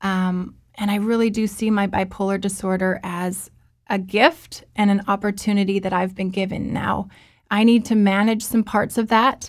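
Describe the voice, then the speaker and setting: Monotone, flat intonation from a woman at a medium pitch and moderate pace, on a very clean recording with a silent background. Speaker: author and mental health speaker. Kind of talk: personal testimony in interview. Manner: rambling at times, personal and heartfelt.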